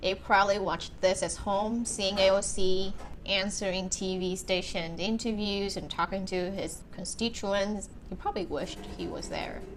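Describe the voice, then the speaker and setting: A woman's medium-pitched voice in a Vietnamese accent, monotone with flat intonation, over noticeable background noise. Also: moderate pace. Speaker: YouTuber, documentary reviewer. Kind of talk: casual talk to camera.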